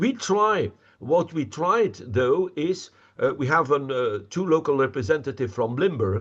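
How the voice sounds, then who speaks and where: Speaking at a fairly slow pace against a quiet background, a man with a Flemish accent uses a fairly high pitch with very wide pitch swings. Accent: Flemish Dutch. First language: Dutch. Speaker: representative of a village association. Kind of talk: presentation Q&A. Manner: halting, repetitive fillers.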